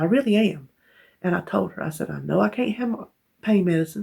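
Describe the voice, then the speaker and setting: A woman speaks in a Southern US accent. Her tone is dark and mellow, with vocal fry. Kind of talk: casual talk to camera.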